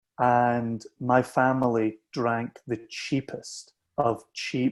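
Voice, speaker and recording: A man with a Scottish accent speaks at a medium pitch against a quiet background. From southwest Scotland, Ayrshire. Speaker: whisky company founder. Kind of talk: casual chat.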